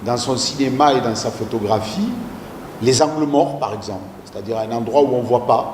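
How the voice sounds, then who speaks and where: A man with a medium pitch is heard with audible room echo and noticeable background noise. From southern France. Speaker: university lecturer leading a talk. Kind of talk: interactive lecture discussion. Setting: small audience room. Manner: hesitant, many fillers.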